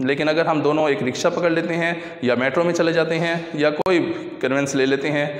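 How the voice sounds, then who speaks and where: Over noticeable background noise and audible room echo, a man with a fairly high pitch speaks at a moderate pace, with fairly even intonation and very even loudness. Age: old. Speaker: teacher. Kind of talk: lecture.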